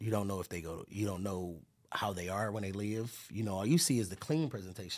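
Very fast speech from a man with a fairly low voice. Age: 30s. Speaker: podcast host. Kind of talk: casual chat.

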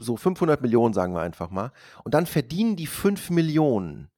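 A man at a medium pitch with very wide pitch swings and a dark, mellow tone, fairly slow in pace, dry and close with no echo, in a very clean recording with a silent background. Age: 40s. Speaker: podcast host. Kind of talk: casual chat.

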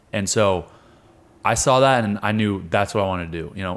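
Fairly quick and fairly even in intonation, a man with an American accent and a normal speaking voice talks at a fairly low pitch. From Colorado and Wyoming, US. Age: 20s. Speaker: wrestler and MMA fighter. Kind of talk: casual chat. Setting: at a jiu-jitsu camp.

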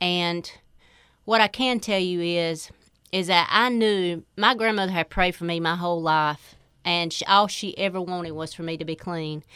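A woman in a North Carolina accent speaks at a moderate pace with a fairly low pitch, a bright, sharp tone and fairly even intonation in a very clean recording with a silent background. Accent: Southern US (North Carolina). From North Carolina, Four Oaks. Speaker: recovered addict. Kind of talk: testimony.

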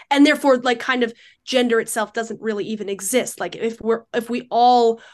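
A woman talks fairly quickly in an ordinary speaking voice, pitched fairly high. The background is quiet. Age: 20s. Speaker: debater. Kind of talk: debate.

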